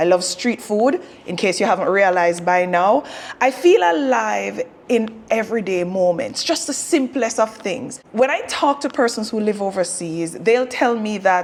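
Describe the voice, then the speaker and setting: A woman speaks with a Jamaican accent at a fairly high pitch. Noticeable background noise runs behind her. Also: lively intonation, moderate pace. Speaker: vlogger. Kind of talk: casual vlog talk to camera. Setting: in a car en route to concert.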